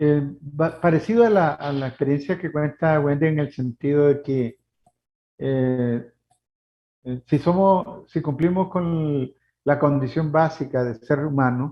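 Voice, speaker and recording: Fairly high male pitch, ordinary pitch variation and a fairly slow pace from a man. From Nicaragua. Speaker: human rights lawyer. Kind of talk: interview. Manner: halting.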